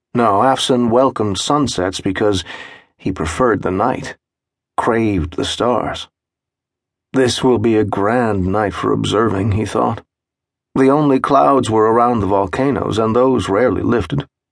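A man speaks in a plain, everyday voice at a fairly low pitch and fairly slow pace. His pitch varies in an ordinary way, and his loudness stays very even. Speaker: audiobook narrator. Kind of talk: scripted audiobook narration, dramatic third-person storytelling. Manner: measured, atmospheric, unhurried, descriptive pacing.

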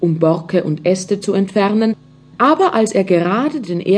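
Reading done in an unforced reading voice

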